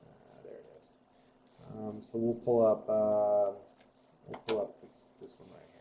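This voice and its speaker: A man speaks with a dark, mellow tone. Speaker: software trainer. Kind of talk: tutorial.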